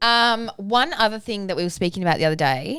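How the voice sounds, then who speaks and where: A woman with an Australian accent at a medium pitch and moderate pace, with a bright, sharp tone and very wide pitch swings. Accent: Australian, less broad than co-host. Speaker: parenting podcast co-host and business owner. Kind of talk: casual chat.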